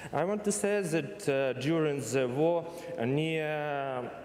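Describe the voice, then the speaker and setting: There is noticeable background noise and audible room echo as a man with a Ukrainian accent talks at a fairly slow pace with lively intonation. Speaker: university representative. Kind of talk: conference presentation. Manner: halting.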